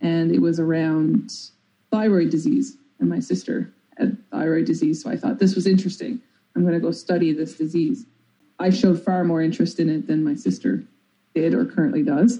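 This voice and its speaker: With a Newfoundland accent, a woman talks at a fairly quick pace in a fairly low, dark, mellow voice with vocal fry and very wide pitch swings. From Newfoundland, Canada (rural, near St. John's). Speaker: biotech research executive. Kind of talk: interview.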